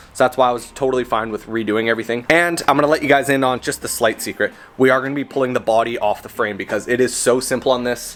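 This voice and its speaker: Through noticeable background noise, a man talks at a very fast pace, his medium pitch held to fairly even intonation. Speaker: car project vlogger. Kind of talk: casual garage vlog.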